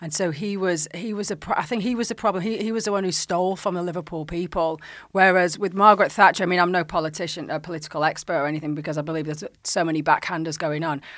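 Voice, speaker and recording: Talking at a very fast pace with hardly any pauses, a woman has a fairly low pitch. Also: ordinary pitch variation, very clean recording, silent background. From northern England, Bolton area. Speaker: actress and author. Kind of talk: casual interview chat.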